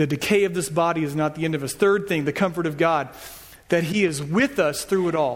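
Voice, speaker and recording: The man's pitch is fairly high and his pace fairly quick. Audible room echo surrounds his voice. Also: ordinary pitch variation. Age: 40s. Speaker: pastor. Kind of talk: sermon. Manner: casual.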